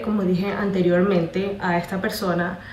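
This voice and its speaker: A woman speaks at a fairly slow pace with a medium pitch, her voice carrying audible room echo over noticeable background noise. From Colombia. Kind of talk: testimony. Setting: congress talk before audience. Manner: halting, with fillers.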